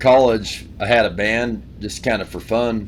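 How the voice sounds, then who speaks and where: A man talks with a slight Appalachian accent. His intonation stays fairly even. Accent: Appalachian-sounding country accent, slight. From Wyoming. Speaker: country singer-songwriter. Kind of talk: casual interview chat.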